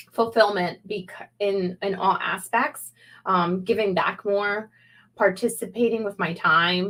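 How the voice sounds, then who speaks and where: Delivered at a very slow pace, the speech carries a Spanish accent and fairly even intonation. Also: woman, medium pitch for a woman. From Peru. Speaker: small business owner and video coach. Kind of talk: live interview. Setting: livestream video call.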